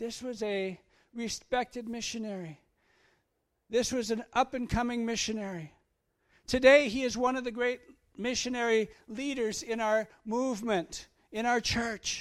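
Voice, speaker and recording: Extremely high male voice with fairly even intonation, on a very clean recording with a silent background. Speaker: missionary. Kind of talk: sermon. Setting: church. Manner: halting.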